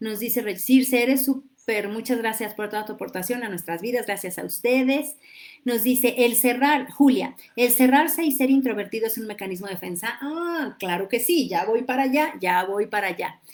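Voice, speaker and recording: The recording is very clean with a silent background. A woman with a high pitch speaks at a moderate pace with ordinary pitch variation. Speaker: livestream host, psychology coach. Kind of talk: live-streamed talk with viewer comments. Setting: live stream on social media. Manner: animated.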